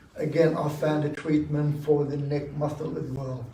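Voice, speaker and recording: With audible room echo, a man speaks in a fairly high pitch at a fairly slow pace, keeping his intonation fairly even. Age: 60s. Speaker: audience member at dharma talk. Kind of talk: audience Q&A sharing. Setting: meditation centre talk with audience.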